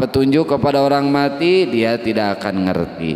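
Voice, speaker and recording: Over noticeable background noise, a man talks at a medium pitch with a West Javanese accent. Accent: Sundanese. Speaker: Quran tafsir teacher. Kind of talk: religious lecture.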